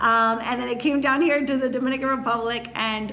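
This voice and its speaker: The voice carries a Philadelphia accent and ordinary pitch variation. Noticeable background noise and audible room echo are present. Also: woman. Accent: Philadelphia-area American English. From US, Philadelphia area. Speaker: real estate agent. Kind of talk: casual chat.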